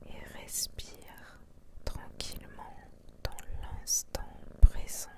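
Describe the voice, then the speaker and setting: Whispering at a very slow pace, broken by long, frequent pauses. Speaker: hypnotherapist. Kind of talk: guided hypnosis session. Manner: whispered; slow, soothing.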